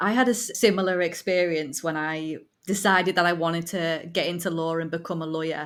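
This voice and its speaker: In a very clean recording with a silent background, a speaker with a northern English accent talks at a fairly quick pace with fairly even intonation. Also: woman, fairly low pitch for a woman. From northern England. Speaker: podcast host, former lawyer. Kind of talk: interview conversation.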